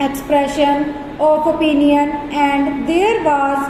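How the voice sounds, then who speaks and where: With noticeable background noise behind her, a woman speaks at a very slow pace with a high pitch. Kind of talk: legal dictation read at 100 words per minute for stenography practice. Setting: dictation practice recording. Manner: slow, dictation pace, pausing between sentences.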